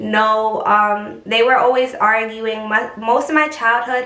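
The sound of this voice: Against audible room echo, a woman speaks at a fairly slow pace in a fairly high, bright, sharp tone with fairly even intonation.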